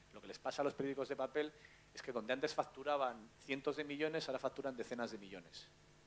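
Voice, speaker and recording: A man at a very fast pace and a medium pitch, with ordinary pitch variation and big swings in loudness. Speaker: journalist. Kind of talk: panel talk.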